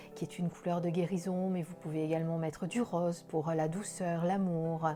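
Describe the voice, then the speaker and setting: With music in the background, a woman with a slight southern French accent speaks at a moderate pace in a fairly low, monotone, flat voice. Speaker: spiritual card reader. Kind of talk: daily oracle card reading. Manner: gentle, soothing; hesitant with fillers.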